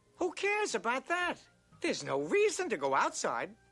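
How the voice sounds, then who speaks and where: A cartoonish character voice moves at a moderate pace over faint music in the background. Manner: brash, breezy.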